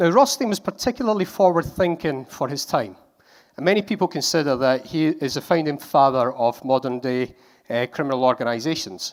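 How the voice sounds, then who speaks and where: A man speaks with a Scottish accent at a fairly high pitch. The recording is very clean, with a silent background. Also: lively intonation, fairly quick pace. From Scotland. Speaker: conference speaker. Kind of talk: conference talk.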